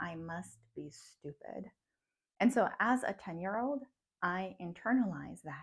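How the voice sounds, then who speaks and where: Somewhat breathy and medium in pitch, a woman speaks at a fairly slow pace with lively intonation and big swings in loudness. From Russian-speaking childhood, moved to US at ten. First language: Russian. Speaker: psychologist and mindfulness coach. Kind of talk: personal storytelling vlog. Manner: reflective, conversational.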